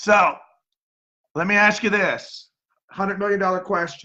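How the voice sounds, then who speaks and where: A man speaks with a bright, sharp tone. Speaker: real estate agent. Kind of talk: cold sales call. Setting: phone call. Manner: fast.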